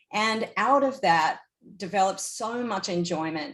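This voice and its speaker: Speaking with an Australian accent, a woman talks at a fairly slow pace with lively intonation. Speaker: surf industry executive. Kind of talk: panel discussion.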